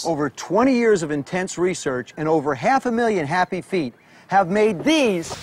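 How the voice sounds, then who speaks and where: A man's high pitch with very wide pitch swings at a moderate pace over noticeable background noise. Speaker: former pro football quarterback and broadcaster. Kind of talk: infomercial presentation.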